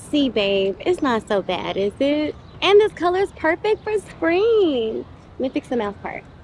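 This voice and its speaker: A woman talks at a fairly slow pace with a high voice and very wide swings in pitch. The sound is dry with no echo, over light background noise. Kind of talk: scripted comedy sketch dialogue. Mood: playful, teasing. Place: street.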